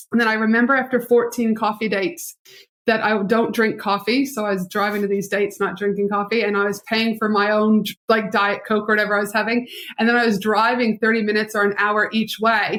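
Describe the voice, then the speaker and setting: Fairly high in pitch, a woman talks at a fairly quick pace in a monotone, flat delivery. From Canada. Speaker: business strategist and entrepreneur. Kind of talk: podcast interview. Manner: fast.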